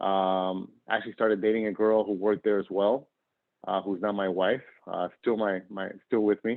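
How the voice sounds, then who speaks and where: Here a man has an unremarkable speaking voice with a fairly low pitch. He keeps a moderate pace. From northern Argentina, moved to US at 10. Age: 40s. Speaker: nonprofit worker and professor. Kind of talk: interview.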